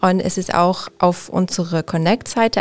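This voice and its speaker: A woman's medium-pitched voice, an ordinary speaking voice. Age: 30s. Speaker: interior architect. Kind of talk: interview. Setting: studio.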